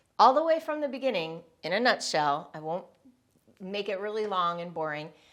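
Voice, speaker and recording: At a fairly quick pace, a woman speaks with very wide pitch swings on a very clean recording with a silent background. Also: medium pitch for a woman. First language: Spanish. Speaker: business and personal development coach. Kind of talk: personal story told to camera.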